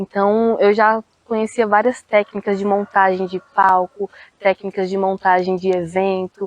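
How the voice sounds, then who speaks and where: A woman's medium-pitched voice, dry and close with no echo, at a very slow pace. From Brazil, Federal District (Planaltina). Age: 20s. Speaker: cultural producer and poet. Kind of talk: interview.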